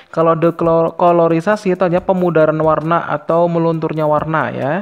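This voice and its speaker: Delivered at a fairly quick pace, the speech has monotone, flat intonation. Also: man, high pitch for a man. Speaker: exam prep tutor. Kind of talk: tutorial. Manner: fast.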